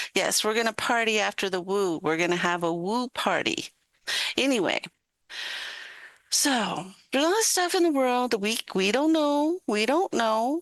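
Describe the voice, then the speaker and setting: A woman's fairly high voice at a moderate pace, very even in loudness, with very wide pitch swings, long and frequent pauses, and a dry, close sound with no echo. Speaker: guest host of a live talk stream. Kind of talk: casual live-stream chat. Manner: animated; slurring words.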